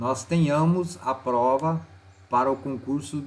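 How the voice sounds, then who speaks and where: Somewhat breathy, a man with a medium pitch speaks in lively intonation on a very clean recording with a silent background. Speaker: teacher. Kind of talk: tutorial. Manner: casual.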